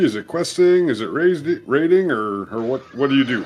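With an American accent, a man speaks at a moderate pace. His pitch swings very widely. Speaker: podcast host. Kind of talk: casual chat.

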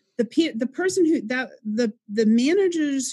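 A woman speaks at a fairly slow pace with a dark, mellow, somewhat breathy tone. The sound is dry and close with no echo, over a quiet background. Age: 50s. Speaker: life coach and author. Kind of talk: interview.

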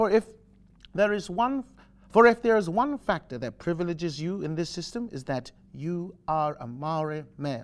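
The speaker's voice makes very wide pitch swings at a moderate pace, on a very clean recording with a silent background. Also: man. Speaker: actor playing a judge. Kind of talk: courtroom monologue, formal. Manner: formal, measured.

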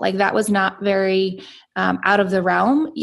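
A woman with an American accent and an ordinary speaking voice talks at a moderate pace and medium pitch, her intonation fairly even. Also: very clean recording, silent background. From US South, Atlanta, Georgia. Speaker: entrepreneur. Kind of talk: interview.

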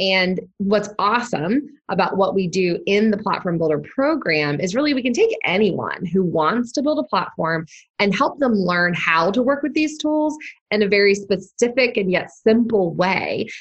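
A woman with a medium-pitched, somewhat breathy voice swings her pitch very widely while keeping her loudness very even at a moderate pace. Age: 40s. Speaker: digital marketing entrepreneur. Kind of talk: interview podcast.

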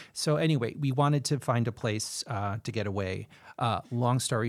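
Heard on a very clean recording with a silent background, a man with a plain, everyday voice and an American accent talks at medium pitch and a fairly slow pace. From Chicago. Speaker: city council candidate. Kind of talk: interview conversation.

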